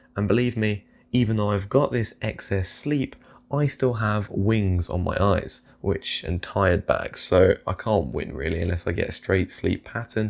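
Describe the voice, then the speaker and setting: Here a man with a British accent speaks in a fairly low pitch at a moderate pace. The recording is very clean, with a silent background. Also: ordinary pitch variation. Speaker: investing youtuber. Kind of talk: casual vlog commentary.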